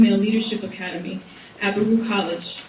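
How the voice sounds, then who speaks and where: Soft-spoken and fairly high-pitched, a woman talks at a fairly quick pace with fairly even intonation, amid noticeable background noise and audible room echo. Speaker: college program director, social worker panelist. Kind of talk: prepared speech.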